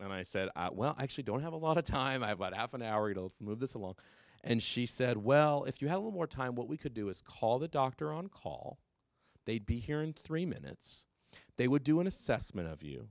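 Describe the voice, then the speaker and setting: This man speaks with an American accent at medium pitch, in an animated tone with very wide pitch swings. His pace is very fast, and the recording is very clean with a silent background. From California. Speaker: drug policy speaker. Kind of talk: public talk.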